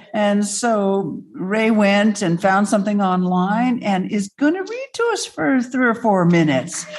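This woman's somewhat breathy voice sits at a medium pitch and moves at a fairly slow pace with hardly any pauses. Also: ordinary pitch variation. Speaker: organization president and moderator. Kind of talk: event moderation. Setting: room with live audience and Zoom.

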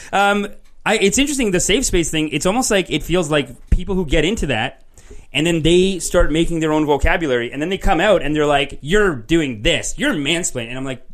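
Lively intonation marks this man's high-pitched voice. He speaks at a fairly quick pace with a Canadian accent. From Canada. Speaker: podcast host. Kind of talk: casual chat. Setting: studio, live on Facebook video.

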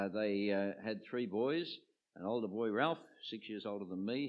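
The delivery has an Australian accent. Its pace is moderate. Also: man. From Australia, Sydney eastern suburbs. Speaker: retired archbishop. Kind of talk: interview before a live audience. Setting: church with audience.

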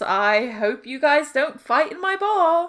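The voice is a put-on character, pitched high. Its pace is fairly slow.

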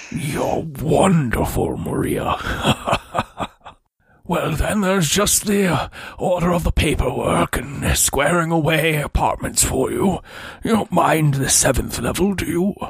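A put-on character voice, raspy and at a middle pitch. It moves at a fairly slow pace. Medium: actual play. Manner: formal, smooth, controlled.

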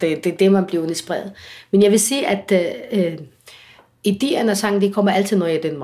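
A woman with an Arabic accent talks at a fairly quick pace in a medium pitch, broken by long, frequent pauses. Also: ordinary pitch variation. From Egypt. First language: Arabic (speaking Danish). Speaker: singer. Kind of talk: interview. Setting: at home. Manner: halting.

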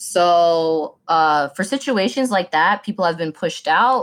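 In a very clean recording with a silent background, a woman with a fairly low pitch speaks at a fairly slow pace. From DeKalb County, Georgia, US. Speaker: candidate for county commissioner. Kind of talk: casual interview chat.

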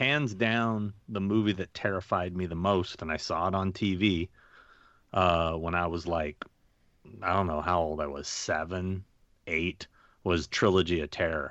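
Against a quiet background, a man with a very deep, low pitch speaks at a fairly slow pace, with ordinary pitch variation. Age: 50s. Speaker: convention agent and horror show host. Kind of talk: casual chat.

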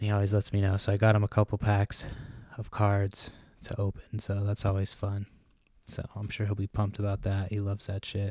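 This man speaks at a fairly quick pace in a fairly low, somewhat breathy voice. His tone is dark and mellow, and his intonation stays flat and monotone. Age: 30s. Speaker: podcast host. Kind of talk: casual chat. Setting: recording with a GoPro camera.

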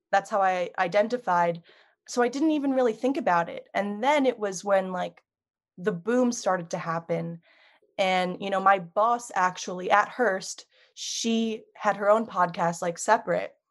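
Here is a woman with medium pitch. She has an ordinary speaking voice. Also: ordinary pitch variation, moderate pace. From US Northeast, Long Island, New York. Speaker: podcast producer and video editor. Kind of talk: casual chat.

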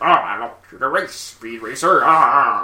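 The voice is a put-on character voice. It sits at a middle pitch and goes fairly slowly. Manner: gruff, theatrical.

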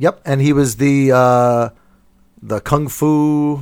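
This is a man with a normal speaking voice. His pitch variation is ordinary. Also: very clean recording, silent background. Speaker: comedy podcast host. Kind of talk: casual comedy chat. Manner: laughs often, joking.

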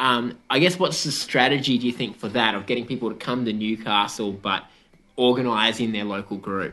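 With an Australian accent, a man speaks fairly quickly at a medium pitch, his bright, sharp tone carrying ordinary pitch variation. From New South Wales, Australia. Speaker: community radio host. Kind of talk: radio interview. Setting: on location.

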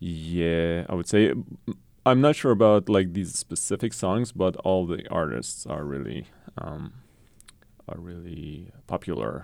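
A man with a very deep, low pitch speaks at a fairly slow pace with lively intonation and big swings in loudness, recorded very cleanly against a silent background. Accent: Persian. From Iran, Tehran. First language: Persian. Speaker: French professor. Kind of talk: interview. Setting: radio studio.

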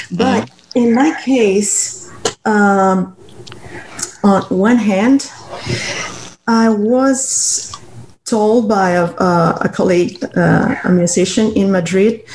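With a Cuban accent, a woman speaks at a medium pitch with ordinary pitch variation over noticeable background noise. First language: Spanish. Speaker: blind community member. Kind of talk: interview.

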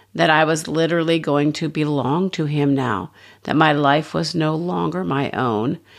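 Over a quiet background, a woman with a very deep, low pitch and vocal fry speaks at a moderate pace. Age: 60s. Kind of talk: devotional teaching talk.

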